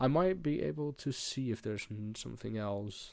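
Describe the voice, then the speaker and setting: A man with a strong Dutch accent, fairly low pitch, ordinary pitch variation and moderate pace, in a very clean recording with a silent background. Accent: thick Dutch. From Netherlands. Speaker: crypto trader streamer. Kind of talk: live trading tutorial. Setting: live stream. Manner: hesitant with fillers.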